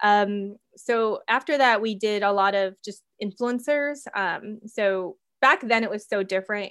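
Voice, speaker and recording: A woman with an American accent has a plain, everyday voice at a fairly high pitch. She speaks at a fairly slow pace with ordinary pitch variation and hardly any pauses. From US Midwest, Minnesota. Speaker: entrepreneur, skincare company founder. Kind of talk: interview.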